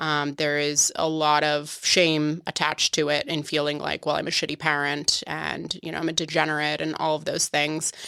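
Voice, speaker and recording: A woman's very deep, low voice with an American accent, a bright, sharp tone, monotone, flat intonation, a moderate pace and hardly any pauses. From Boston area, Massachusetts. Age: 30s. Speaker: podcast guest, mocktail influencer. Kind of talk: casual chat. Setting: studio.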